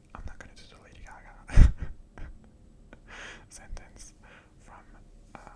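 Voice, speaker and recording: A man whispers in a calm tone at a moderate pace, leaving long, frequent pauses. His loudness swings widely, and background noise is noticeable. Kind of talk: ASMR ramble. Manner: whispered, soft-spoken, calm.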